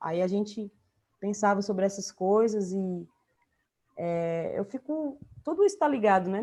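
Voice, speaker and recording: In a northeastern Brazilian accent, a woman with a dark, mellow tone and medium pitch talks at a fairly slow pace, her intonation lively and her pauses long and frequent. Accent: northeastern Brazilian (Ceará). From Brazil, Fortaleza, Ceará. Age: 40s. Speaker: writer and visual artist. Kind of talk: interview conversation.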